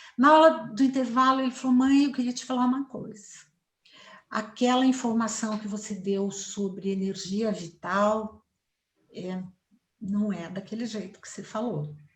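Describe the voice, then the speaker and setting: Delivered at a fairly slow pace, the voice is somewhat breathy, with long, frequent pauses, ordinary pitch variation and big swings in loudness. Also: woman, fairly high pitch for a woman. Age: 60s. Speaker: psychologist and family therapist. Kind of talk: interview. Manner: fluent, assured.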